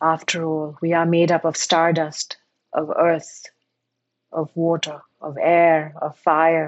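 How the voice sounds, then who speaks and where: A woman speaks very slowly in a calm, soothing tone with monotone, flat intonation. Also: fairly low pitch for a woman. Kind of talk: guided meditation. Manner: slow, calm, soothing, with gentle pauses.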